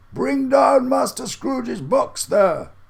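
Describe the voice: A man uses a put-on character voice, extremely high in pitch. He delivers it at a fairly slow pace.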